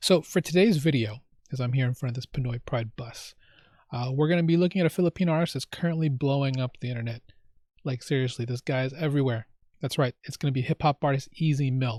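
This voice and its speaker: A man with an American accent talks at a very fast pace. His voice sits fairly high and sounds somewhat breathy. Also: ordinary pitch variation, very clean recording, silent background. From United States. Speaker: YouTube reaction host. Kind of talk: casual vlog intro. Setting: outdoors in front of a bus. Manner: halting, with fillers and repeats.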